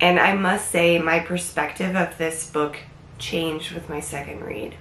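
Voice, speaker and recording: A woman's fairly low voice at a fairly slow pace, with fairly even intonation over noticeable background noise. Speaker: book reviewer. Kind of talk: casual book review to camera.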